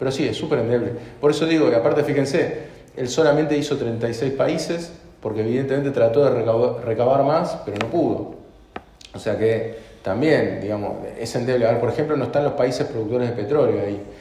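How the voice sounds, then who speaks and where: A man with a medium pitch and ordinary pitch variation talks at a fairly quick pace, with audible room echo and noticeable background noise around him. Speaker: economist presenting his book. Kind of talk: Q&A answer at book presentation.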